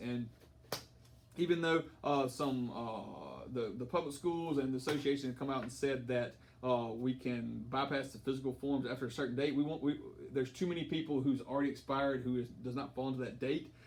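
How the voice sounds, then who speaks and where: This man talks at a fairly quick pace with an American accent, a medium pitch and ordinary pitch variation. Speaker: high school football coach. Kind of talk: informational briefing to parents. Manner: fast.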